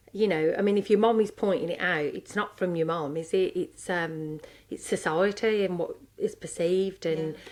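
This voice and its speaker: A woman with a strong Brummie accent, medium pitch, ordinary pitch variation and a moderate pace. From Birmingham, England. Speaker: podcast co-host, coach. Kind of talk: casual chat.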